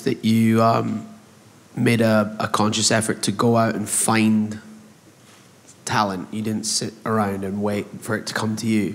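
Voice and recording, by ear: A man speaks with a British accent at a moderate pace. His pitch is fairly low and barely moves.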